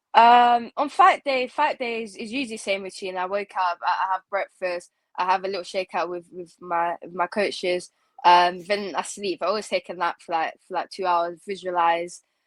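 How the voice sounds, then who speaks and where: The speaker uses a normal speaking voice at a moderate pace with ordinary pitch variation, recorded with a dry, close sound and no echo. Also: woman, medium pitch for a woman. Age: 20s. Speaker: MMA fighter. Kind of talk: interview.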